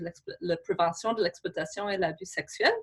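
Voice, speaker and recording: A woman with an English Canadian accent speaks with ordinary pitch variation. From Canada, Saskatchewan. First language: English (speaking French). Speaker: government official. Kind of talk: webinar presentation. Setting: remote from her office. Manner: halting.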